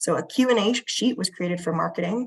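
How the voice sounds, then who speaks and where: With an American accent, a woman speaks at a fairly quick pace, using vocal fry and ordinary pitch variation. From United States. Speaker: museum curator. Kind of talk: conference presentation. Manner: hesitant fillers.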